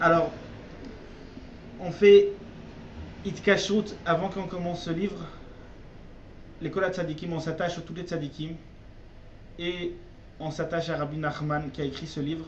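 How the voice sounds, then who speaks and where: The man's voice is high-pitched and monotone, with flat intonation at a fairly slow pace and long, frequent pauses. Audible room echo and noticeable background noise come through. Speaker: religious teacher. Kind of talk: religious text lesson. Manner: halting.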